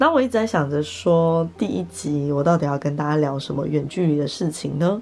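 A relaxed tone at a fairly quick pace, lively intonation and hardly any pauses. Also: woman, very deep, low pitch for a woman. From Taiwan, Taipei. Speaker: podcaster and content creator. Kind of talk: casual solo chat. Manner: relaxed, laughs often.

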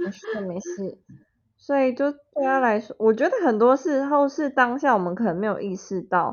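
Pitch swings very widely in speech that keeps a moderate pace. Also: woman, high pitch for a woman. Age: 20s. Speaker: podcast co-host. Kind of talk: casual chat. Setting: remote recording.

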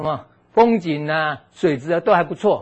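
A man speaks at a moderate pace. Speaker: physical therapist giving health lecture. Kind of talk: lecture. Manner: animated, frequent fillers.

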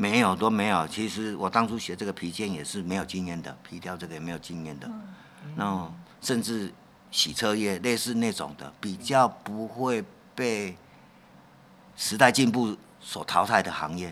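This man talks at a moderate pace with fairly low pitch and ordinary pitch variation, his loudness swinging widely and his pauses long and frequent. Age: 60s. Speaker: leather craftsman. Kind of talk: interview.

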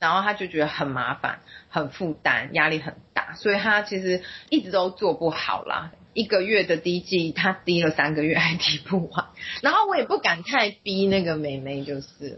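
Ordinary pitch variation and a moderate pace mark a woman's speech. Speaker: social worker. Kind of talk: interview.

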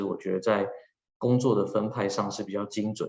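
Here is a man with a normal speaking voice. His pitch is fairly low, and his intonation fairly even. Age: 30s. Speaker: HR manager working abroad. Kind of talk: personal talk. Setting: video call.

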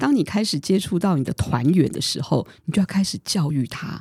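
In a dry, close sound with no echo, a woman with a dark, mellow, somewhat breathy tone talks at a fairly quick pace, her pitch swinging very widely. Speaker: podcast host. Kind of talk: casual chat.

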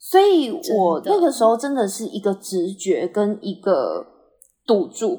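At a fairly slow pace, a woman speaks in a fairly high, somewhat breathy voice with a dark, mellow tone and very wide pitch swings. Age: 30s. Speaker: patient autonomy nonprofit staff. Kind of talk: interview conversation.

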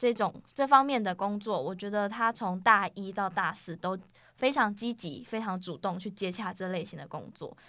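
The tone is bright and sharp, with big swings in loudness and ordinary pitch variation. The pace is moderate, on a very clean recording with a silent background. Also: woman, medium pitch for a woman. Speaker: college student podcast host. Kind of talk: casual chat.

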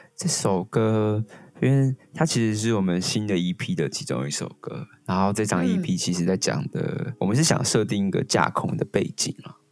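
A man with a fairly low pitch speaks at a moderate pace with hardly any pauses and very wide pitch swings, over noticeable background noise. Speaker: band leader and songwriter. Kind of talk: casual interview.

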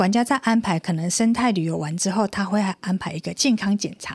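Somewhat breathy and of medium pitch, a woman speaks at a moderate pace with ordinary pitch variation, the sound dry and close with no echo on a very clean recording with a silent background. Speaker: radio co-host and university lecturer. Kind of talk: radio talk show interview.

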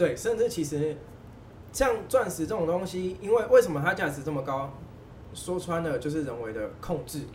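A man with a high pitch speaks at a moderate pace, his voice swinging very widely in pitch. Noticeable background noise and audible room echo are present. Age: 20s. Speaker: diamond dealer. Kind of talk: casual chat. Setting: mahjong room venue.

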